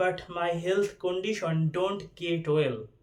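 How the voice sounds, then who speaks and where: Speaking with a Bangladeshi accent, a man with a high pitch talks at a fairly slow pace with ordinary pitch variation. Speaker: university student. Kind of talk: casual talk to camera.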